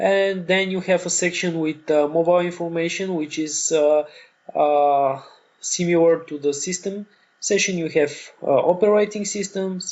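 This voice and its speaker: With fairly even intonation, a man speaks at a high pitch and a moderate pace. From Bulgaria. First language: Bulgarian. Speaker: online course instructor. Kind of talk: tutorial. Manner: halting, many fillers.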